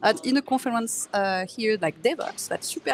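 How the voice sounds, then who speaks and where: A woman speaks with a French accent and lively intonation. The sound is dry and close, with no echo. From France. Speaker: tech company engineer, author. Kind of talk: conference interview. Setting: live conference booth.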